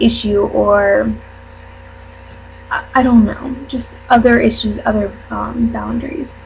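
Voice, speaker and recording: Behind this woman's speech there is noticeable background noise. She talks throughout the clip. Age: 20s. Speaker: YouTuber and college student. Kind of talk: casual vlog monologue. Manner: hesitant, many fillers.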